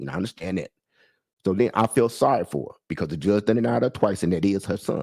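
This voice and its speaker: A man speaks very fast with a fairly low pitch, vocal fry, lively intonation and an animated tone, his loudness swinging widely. The sound is dry and close with no echo, and the recording is very clean with a silent background. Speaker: vlogger telling personal story. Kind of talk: casual monologue, storytelling rant.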